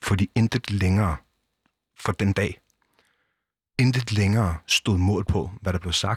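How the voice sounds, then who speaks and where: A man's fairly low, somewhat breathy voice with ordinary pitch variation at a fairly slow pace, the sound dry and close with no echo. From southern Zealand, Denmark. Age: 30s. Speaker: former biker gang member, nonprofit director. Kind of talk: interview. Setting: studio.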